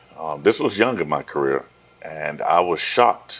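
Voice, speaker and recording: A man's voice comes through with noticeable noise in the background. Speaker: talk show host. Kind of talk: interview. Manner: casual, colloquial.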